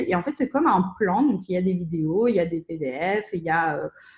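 A woman's somewhat breathy voice at medium pitch, with ordinary pitch variation and a fairly slow pace. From Russia (Soviet Union). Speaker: entrepreneur. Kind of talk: interview. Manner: hesitant, many fillers.

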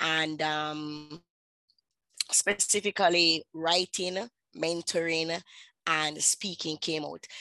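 Speaking with a Jamaican accent, a woman has a fairly low pitch and a bright, sharp tone with fairly even intonation, in a dry, close sound with no echo. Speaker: author and publisher. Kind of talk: interview.

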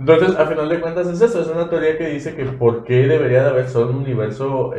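A man with a Mexican accent talks at a very fast pace. The audio has noticeable background noise and audible room echo. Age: 20s. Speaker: podcast co-host. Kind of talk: casual chat.

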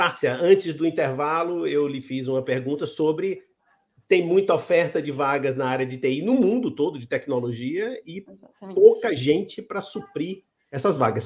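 The pitch moves in an ordinary manner. It is an ordinary speaking voice. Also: man. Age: 60s. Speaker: interview show host. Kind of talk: interview.

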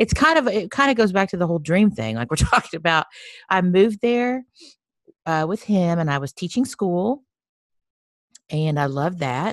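A woman with an American accent speaks at a moderate pace and medium pitch, her pitch swinging very widely between long, frequent pauses. The sound is dry and close with no echo, over a quiet background. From Texas. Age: 50s. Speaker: photographer. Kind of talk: casual chat.

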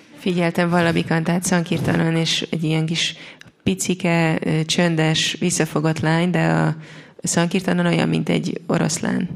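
A woman speaks with a fairly low pitch, fairly even intonation and very even loudness. Noticeable background noise can be heard. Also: fairly quick pace. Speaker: interpreter. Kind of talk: consecutive interpretation.

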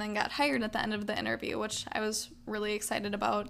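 A woman's voice, fairly high in pitch. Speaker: podcast host and part-time radio DJ. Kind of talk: solo casual podcast talk. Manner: animated.

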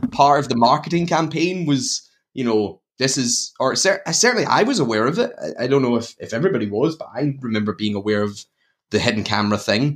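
A man with a Glaswegian accent talks at a fairly quick pace, his medium-pitched voice full of lively intonation. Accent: Glaswegian Scottish. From Scotland, Glasgow. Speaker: horror podcast host. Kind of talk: casual chat.

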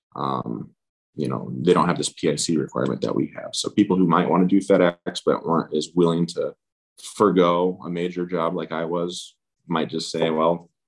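This man has an American accent and a very deep, low pitch with vocal fry. He talks at a moderate pace with ordinary pitch variation. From US Pacific Northwest, Seattle. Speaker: airline pilot. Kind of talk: interview. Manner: hesitant, many fillers.

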